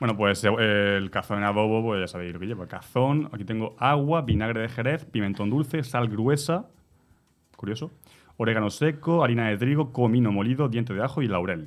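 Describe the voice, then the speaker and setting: In an Andalusian accent, a man talks at a fairly quick pace. His medium-pitched voice shows ordinary pitch variation. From Jaén, Andalusia, Spain. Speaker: radio panelist. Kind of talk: radio talk show.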